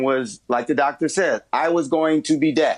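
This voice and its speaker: Against a quiet background, a man talks in a plain, everyday voice with an American accent. His fairly high voice moves at a moderate pace with ordinary pitch variation. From US Midwest, Chicago. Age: 60s. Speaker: HIV activist. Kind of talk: TV interview.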